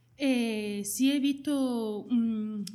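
A woman's fairly high voice with ordinary pitch variation, over noticeable background noise. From Jaén, Andalusia. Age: 30s. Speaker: hospitality worker. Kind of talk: interview.

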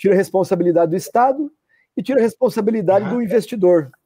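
A man's high-pitched voice with a dark, mellow tone and lively intonation, in a dry, close sound with no echo. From Brazil, not São Paulo. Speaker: live stream host of a culture festival channel. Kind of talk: casual live stream interview. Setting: online live stream. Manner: halting, repeats words.

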